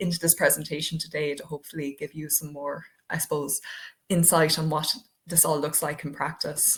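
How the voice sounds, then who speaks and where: In an Irish accent, a woman talks in a somewhat breathy voice with fairly even intonation. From Ireland. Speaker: diversity project coordinator. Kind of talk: webinar presentation. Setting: online webinar. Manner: hesitant, many fillers.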